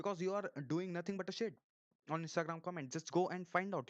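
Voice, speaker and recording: With a dry, close sound and no echo, a man with an Indian accent speaks at a high pitch with fairly even intonation. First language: Hindi. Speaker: YouTuber. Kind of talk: live stream monologue. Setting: live stream. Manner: halting, with many repetitions and false starts.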